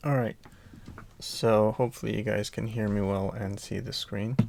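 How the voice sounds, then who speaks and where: Soft-spoken with vocal fry, a man speaks at a fairly low pitch and a moderate pace on a very clean recording with a silent background. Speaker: coding student. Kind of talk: tutorial. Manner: quiet, soft-spoken; halting with fillers.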